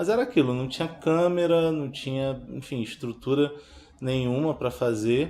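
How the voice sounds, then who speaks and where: This man has a plain, everyday voice with ordinary pitch variation. He speaks at a moderate pace. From Baixada Fluminense, Rio de Janeiro, Brazil. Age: 30s. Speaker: filmmaker. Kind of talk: interview testimony.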